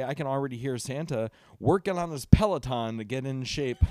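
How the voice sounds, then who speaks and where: On a very clean recording with a silent background, a man with a fairly high pitch and an unremarkable speaking voice talks at a fairly quick pace with ordinary pitch variation. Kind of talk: casual chat.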